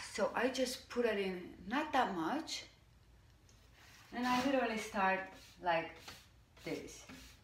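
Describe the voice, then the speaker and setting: In a Hungarian accent, a woman speaks at a fairly high pitch with very wide pitch swings and a somewhat breathy quality. Her long, frequent pauses sit in audible room echo. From Hungary. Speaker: furniture painter. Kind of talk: tutorial. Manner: casual, hesitant.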